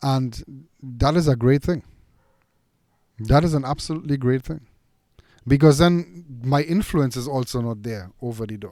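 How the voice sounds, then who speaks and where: Speaking at a moderate pace with long, frequent pauses, a man with a non-native accent uses a dark, mellow tone at a medium pitch, with ordinary pitch variation and big swings in loudness. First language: not English. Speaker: dog trainer and podcast host. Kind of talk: casual chat. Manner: halting.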